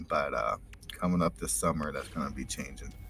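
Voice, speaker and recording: A man with an American accent speaks in a very deep, low pitch. Music plays in the background. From United States. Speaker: stream viewer calling in. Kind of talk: casual chat. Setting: remote call from van over 5G.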